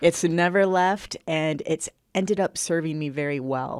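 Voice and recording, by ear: A woman's low voice, clear and smooth with a slightly mellow tone, at a fairly slow pace. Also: ordinary pitch variation.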